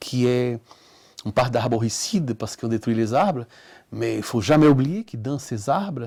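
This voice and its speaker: Medium pitch and ordinary pitch variation from a man, his pace moderate. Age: 60s. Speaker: artist. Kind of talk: interview. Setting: at his home.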